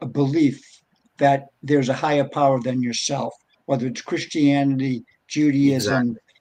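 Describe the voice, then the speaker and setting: The speaker is a man with a fairly high pitch. He keeps a moderate pace. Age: 60s. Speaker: bitcoin advocate and entrepreneur. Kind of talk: casual chat.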